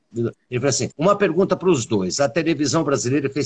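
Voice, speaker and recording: The man's voice is fairly high and somewhat breathy. It sounds dry and close with no echo, over a quiet background. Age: 50s. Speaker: podcast host and musician. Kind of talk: casual chat. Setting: video call.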